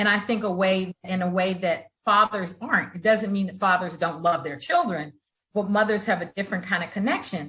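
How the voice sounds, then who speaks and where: A woman's plain, everyday voice, medium in pitch with ordinary pitch variation, at a fairly quick pace. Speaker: founder, author, real estate investor. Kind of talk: interview answer.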